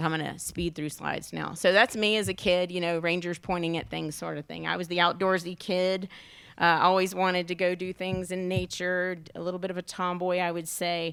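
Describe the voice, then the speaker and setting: With a Southern US accent, a woman speaks at a fairly quick pace in a monotone, flat delivery, her pitch fairly low. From US South. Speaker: national park superintendent. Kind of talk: keynote presentation with slides. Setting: luncheon event with audience. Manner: fast.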